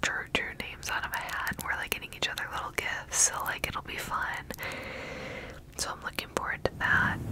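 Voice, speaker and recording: Whispering and soft-spoken, a woman talks at a moderate pace through loud background noise. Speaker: ASMR creator. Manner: soft close-mic whisper. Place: home room. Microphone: studio mic.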